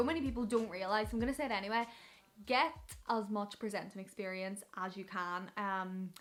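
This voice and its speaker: Someone speaks in a Northern Irish accent at a fairly quick pace. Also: woman. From Northern Ireland. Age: 20s. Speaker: radio presenter. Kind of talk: casual vlog advice. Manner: fast; animated.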